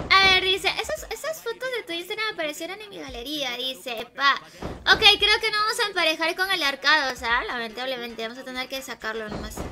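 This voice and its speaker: A woman uses a raised, projected voice at an extremely high pitch, animated, with very wide pitch swings. Her loudness rises and falls sharply over light background noise. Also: fairly quick pace. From Peru. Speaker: gaming streamer. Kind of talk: live gaming stream chat. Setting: at home alone. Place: home room.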